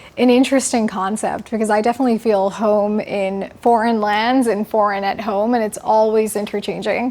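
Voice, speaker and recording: Over noticeable background noise, a woman with fairly high pitch talks at a moderate pace with hardly any pauses and monotone, flat intonation. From Indian heritage. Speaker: interview show host. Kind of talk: interview.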